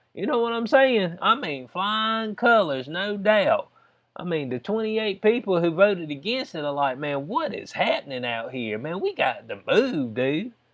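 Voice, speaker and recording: Speaking in a Southern US accent, a man uses a high pitch, very wide pitch swings and an animated tone at a moderate pace. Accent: Southern US, country. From US South. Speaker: YouTube commentator. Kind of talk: casual commentary on news.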